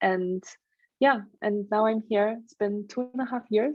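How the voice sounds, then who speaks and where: Speaking at a moderate pace, a woman with a German accent uses a medium pitch and fairly even intonation. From Germany. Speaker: stress management trainer and coach. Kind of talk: interview.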